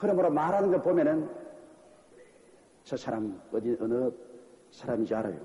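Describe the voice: A man's fairly high voice at a fairly slow pace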